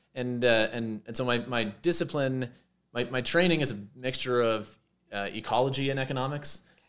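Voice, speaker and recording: The man's pace is fairly quick. He varies his pitch an ordinary amount. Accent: Montreal. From Quebec, Montreal. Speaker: professor. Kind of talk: interview. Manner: halting, with many fillers.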